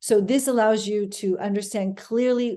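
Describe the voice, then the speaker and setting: A woman with an American accent speaks in a dark, mellow tone with fairly even intonation over a quiet background. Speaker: immigration attorney. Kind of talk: webinar presentation. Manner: fast.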